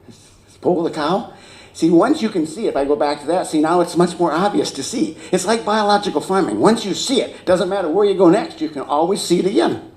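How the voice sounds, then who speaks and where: Audible room echo surrounds a man with an American accent. He speaks at a fairly quick pace in a high pitch with lively intonation. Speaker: agricultural expert. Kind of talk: conference talk. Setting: stage with audience. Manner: fast.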